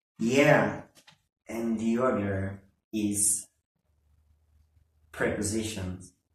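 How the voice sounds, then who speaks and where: A man speaks very slowly, leaving long, frequent pauses. His voice is somewhat breathy, fairly low in pitch, with fairly even intonation. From Ecuador. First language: Spanish. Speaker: language school teacher. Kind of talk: casual chat. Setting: classroom. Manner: halting.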